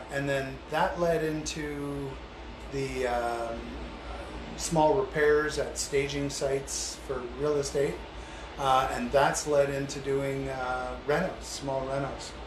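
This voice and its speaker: A man talks very slowly while audible room echo and noticeable background noise fill the recording. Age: 60s. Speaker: handyman and small contractor, former police officer. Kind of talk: casual interview. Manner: hesitant, many fillers.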